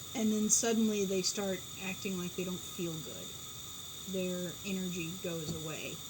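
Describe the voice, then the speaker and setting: Room echo is audible, along with noticeable background noise. A woman at medium pitch speaks at a fairly slow pace. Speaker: pigeon keeper. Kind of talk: casual chat. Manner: loud; animated.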